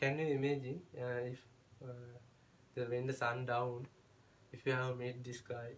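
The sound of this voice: A man at medium pitch speaks in a monotone, flat intonation, with audible room echo around him.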